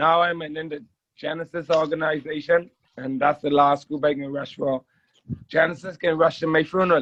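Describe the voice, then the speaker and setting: A man talks at a fairly quick pace in a fairly high pitch. His intonation is monotone and flat, with big swings in loudness. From Bahamas, Nassau. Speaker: junkanoo dancer. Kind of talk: casual chat.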